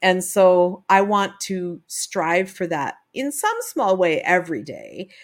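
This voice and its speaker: Speaking at a very slow pace yet with hardly any pauses, a woman with a Canadian accent talks at a medium pitch with ordinary pitch variation. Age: 50s. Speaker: podcast host and life coach. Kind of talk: reflective solo monologue. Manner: halting, with fillers.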